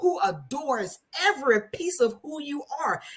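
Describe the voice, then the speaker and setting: A loud, animated woman's voice at a fairly slow pace, with very wide pitch swings. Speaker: talk show host. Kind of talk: casual chat.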